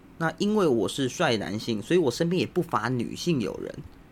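A man is talking. His pitch swings very widely. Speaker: podcast host. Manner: casual, joking.

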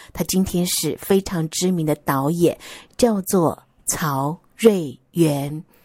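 A woman with a fairly low pitch speaks in a Taiwanese accent at a very slow pace, her tone dark and mellow with ordinary pitch variation. The recording is very clean, with a silent background and a dry, close sound with no echo. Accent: Taiwanese Mandarin. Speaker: podcast host. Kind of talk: casual monologue. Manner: chatty, many fillers.

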